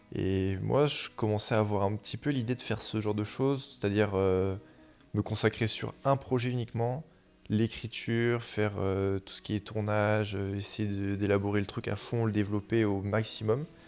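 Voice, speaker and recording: His pitch is fairly low as this man speaks. The pace is moderate and the intonation fairly even. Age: 20s. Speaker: surfer and photographer. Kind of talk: interview. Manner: hesitant, many fillers.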